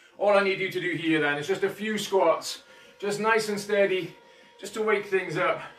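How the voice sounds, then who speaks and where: Music in the background and audible room echo surrounding a man's speech. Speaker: fitness instructor. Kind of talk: live workout instruction. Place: home room. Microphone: camera far.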